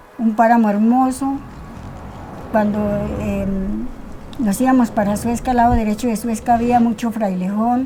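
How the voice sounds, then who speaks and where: A woman with a fairly high pitch speaks at a fairly slow pace, monotone and flat, with long, frequent pauses. Noticeable background noise is present. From Colombia, Cundinamarca highlands near Suesca. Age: 80s+. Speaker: local resident. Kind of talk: testimony. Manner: halting.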